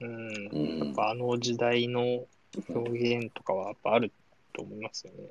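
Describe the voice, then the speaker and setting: A man at a medium pitch and fairly slow pace, with ordinary pitch variation, big swings in loudness and noticeable background noise. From Saitama, Japan. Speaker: engineer and manga fan guest. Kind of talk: casual chat.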